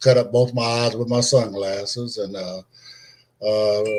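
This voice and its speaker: Somewhat breathy, a man speaks with an American accent. His pace is fairly slow. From California. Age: 60s. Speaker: blind interviewee. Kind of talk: interview. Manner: halting, many fillers.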